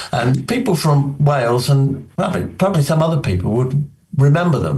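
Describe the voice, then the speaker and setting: A man with a British accent and lively intonation, at a moderate pace, with audible room echo. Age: 70s. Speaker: magician. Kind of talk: interview. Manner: halting.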